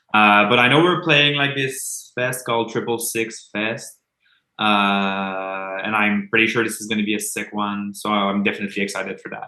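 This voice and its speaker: A man speaks at a moderate pace and a fairly low pitch with ordinary pitch variation. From Quebec. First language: French. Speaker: metal band musician. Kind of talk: casual interview chat.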